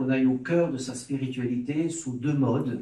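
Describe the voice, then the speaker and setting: Noticeable background noise accompanies the recording. A man speaks with a fairly high pitch and ordinary pitch variation. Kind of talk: lecture. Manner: hesitant with filler sounds.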